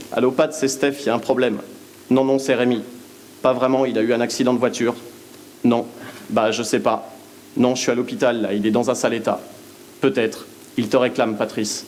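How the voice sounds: A man's shaky, put-on character voice at a medium pitch, flat and monotone in intonation, fairly quick in pace, over clear background noise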